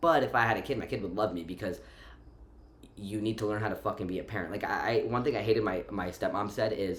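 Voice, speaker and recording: A man with an American accent talks at a fairly quick pace in an animated tone, with ordinary pitch variation. Room echo is audible. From Romania, moved to the US at five. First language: Romanian. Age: 20s. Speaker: vlogger. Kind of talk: casual vlog monologue. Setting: at home. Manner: animated, fillers and repetitions.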